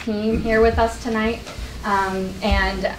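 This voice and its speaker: A woman is heard over light background noise. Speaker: presenter. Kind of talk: presentation to community meeting. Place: meeting room. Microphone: camera far.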